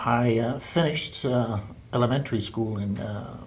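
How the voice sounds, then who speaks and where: A man's somewhat breathy voice comes through over light background noise. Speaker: retired teacher, interviewee. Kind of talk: oral history interview. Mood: calm, reflective. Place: home room.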